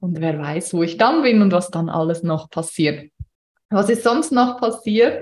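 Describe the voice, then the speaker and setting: A woman at medium pitch and a fairly slow pace, somewhat breathy, with lively intonation. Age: 30s. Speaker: podcast host and business coach. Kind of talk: solo podcast monologue, unscripted.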